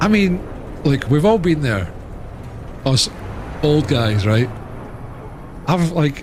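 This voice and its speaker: Speaking very slowly with long, frequent pauses, a man uses a fairly high pitch, very wide pitch swings and very even loudness. Noticeable background noise and audible room echo are present. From Scotland. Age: 30s. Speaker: gaming streamer. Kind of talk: casual chat. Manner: animated.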